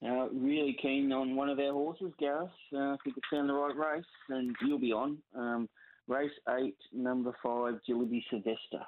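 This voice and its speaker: In a plain, everyday voice, a man with a fairly high pitch talks at a moderate pace with fairly even intonation. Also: very even loudness. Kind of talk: casual chat.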